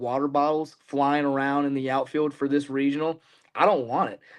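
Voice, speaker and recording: The background is quiet. A man talks in an animated tone with a fairly high pitch. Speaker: sports podcast co-host. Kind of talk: casual chat. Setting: live stream. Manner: loud.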